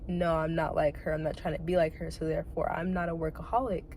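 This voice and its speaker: The woman's voice carries audible room echo. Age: 20s. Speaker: vlogger. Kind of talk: casual monologue.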